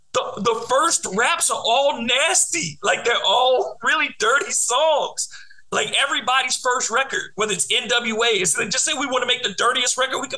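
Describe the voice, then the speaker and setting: In a raised, projected voice, a man with an American accent speaks at a moderate pace, his pitch extremely high and its variation ordinary. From Detroit. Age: 40s. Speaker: podcast host, radio host. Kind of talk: casual chat.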